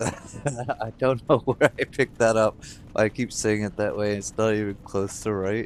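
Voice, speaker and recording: A man's fairly low voice at a fairly slow pace, fairly even in intonation, with noticeable background noise. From United States. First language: not English. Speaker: video game streamer. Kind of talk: live gameplay commentary. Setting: live stream. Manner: casual, conversational.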